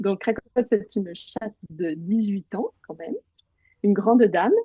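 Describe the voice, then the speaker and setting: A woman speaks at a fairly slow pace with a dark, mellow tone, somewhat breathy. Her pitch variation is ordinary, while her loudness swings widely. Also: medium pitch for a woman, dry, close sound with no echo. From eastern France, Bresse (Burgundy). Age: 30s. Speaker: journalist and writer. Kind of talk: interview.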